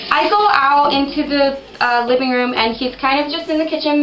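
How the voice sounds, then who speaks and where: Music plays in the background and the room echo is audible. A woman speaks at a high pitch with ordinary pitch variation. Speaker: storytelling video host. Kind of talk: casual storytelling monologue. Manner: fast.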